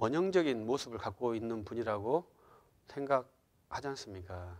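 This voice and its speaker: On a very clean recording with a silent background, a man at medium pitch for a man speaks with lively intonation. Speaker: pastor. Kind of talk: lecture. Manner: soft-spoken; halting, many fillers.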